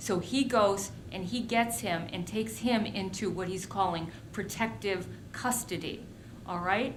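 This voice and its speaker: At a very slow pace, a woman speaks at a medium pitch with ordinary pitch variation, and room echo is audible. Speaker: history lecturer. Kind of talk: lecture. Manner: animated.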